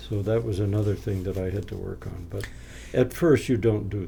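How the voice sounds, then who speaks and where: With lively intonation and some vocal fry, a man speaks at a moderate pace in a fairly low pitch and a dark, mellow tone, with audible room echo. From New England, Maine (Down East). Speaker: retired missionary and educator. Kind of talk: interview. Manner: halting.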